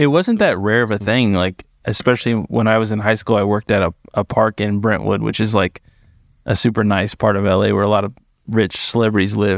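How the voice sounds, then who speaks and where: Fairly low in pitch with vocal fry, a man talks at a fairly quick pace with fairly even intonation. The recording is dry and close, with no echo. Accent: American. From Los Angeles. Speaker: podcast host. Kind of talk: casual chat.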